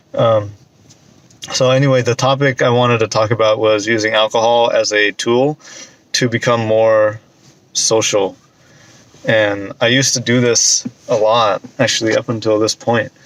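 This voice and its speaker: Against noticeable background noise, a man speaks at medium pitch in a monotone, flat intonation with very even loudness and long, frequent pauses, the sound dry and close with no echo. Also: moderate pace. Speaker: vlogger. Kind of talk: casual vlog monologue. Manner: soft-spoken.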